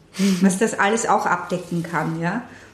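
With audible room echo and noticeable background noise, a woman speaks at medium pitch with fairly even intonation. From Austria, Vienna. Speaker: puppeteer and theatre director. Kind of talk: interview.

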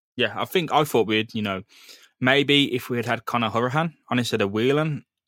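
In an English accent, a bright, sharp voice speaks with ordinary pitch variation, dry and close with no echo, on a very clean recording with a silent background. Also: man. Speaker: football podcast host. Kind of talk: casual chat.

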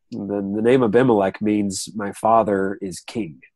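Against a quiet background, a man with an American accent speaks at a fairly low pitch in a dark, mellow tone. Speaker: Bible teacher. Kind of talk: casual online Bible discussion.

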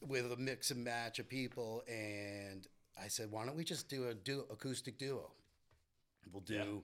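With an American accent and a plain, everyday voice, a man speaks fairly slowly at a medium pitch with ordinary pitch variation. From Winchester, Massachusetts. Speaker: musician. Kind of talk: casual chat.

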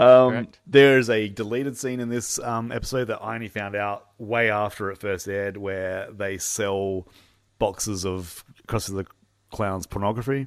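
A man talks in an ordinary speaking voice at a moderate pace with fairly even intonation. The recording is very clean with a silent background. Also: fairly low pitch for a man. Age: 40s. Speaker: podcast host. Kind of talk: casual chat.

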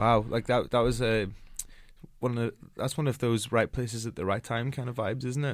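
A man speaks with a Northern Irish accent at a fairly quick pace. His pitch sits in the middle range, and his intonation stays fairly even. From Northern Ireland. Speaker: podcast host. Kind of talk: casual interview. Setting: studio.

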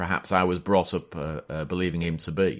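A Yorkshire accent on a very clean recording with a silent background. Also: man. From Yorkshire, northern England. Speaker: podcast host and battlefield historian.

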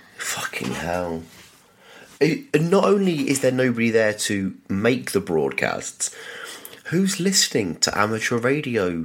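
Speaking with a British accent at a medium pitch, a man talks at a fairly slow pace with very wide pitch swings. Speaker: podcast co-host. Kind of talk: casual chat. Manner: jokey, laughs often.

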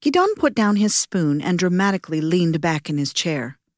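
A woman's normal speaking voice, fairly low in pitch, at a fairly quick pace, with a dry, close sound and no echo. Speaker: podcast host and narrator. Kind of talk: scripted narration. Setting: studio.

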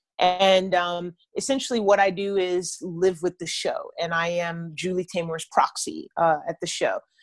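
A woman with an ordinary speaking voice talks at a fairly slow pace with fairly even intonation. The sound is dry and close with no echo, over a quiet background. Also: medium pitch for a woman. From US South, Atlanta, Georgia. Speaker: actor, drummer and theater director. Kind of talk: interview.

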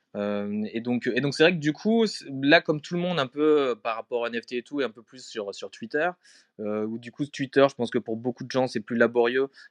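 A man with a plain, everyday voice, ordinary pitch variation and big swings in loudness, in a dry, close sound with no echo and a quiet background. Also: medium pitch for a man, moderate pace. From France, Strasbourg (Alsace). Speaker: photography curator. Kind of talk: casual interview. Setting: live audio chat room.

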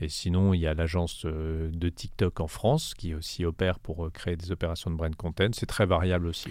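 A man talks in a very deep, low pitch with monotone, flat intonation at a moderate pace, hardly pausing at all. The recording is very clean, with a silent background. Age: 40s. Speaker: music company general manager. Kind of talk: interview. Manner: halting.

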